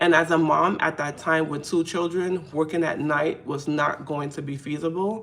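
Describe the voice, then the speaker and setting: The speaker has a New York accent. Intonation is fairly even and the pace moderate. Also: woman, very deep, low pitch for a woman. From New York City. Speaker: faith content creator. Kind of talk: casual live stream talk to camera. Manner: conversational, hesitant.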